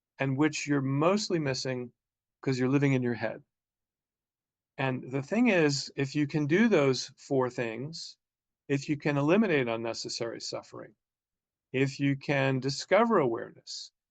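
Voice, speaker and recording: Pausing long and often, a man with a fairly high pitch talks at a moderate pace with ordinary pitch variation. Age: 60s. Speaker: counselor and spiritual teacher. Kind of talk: talking-head video monologue.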